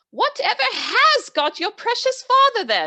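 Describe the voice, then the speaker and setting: A woman puts on a squeaky character voice with extremely high pitch. Her pitch swings very widely at a moderate pace. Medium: read story. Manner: bustling, motherly.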